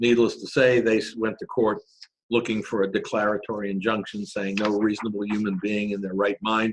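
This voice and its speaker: In a normal speaking voice with fairly even intonation, the speech moves at a fairly quick pace in a dry, close sound with no echo. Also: man. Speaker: corporate lawyer presenter. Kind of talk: webinar presentation. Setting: online webinar.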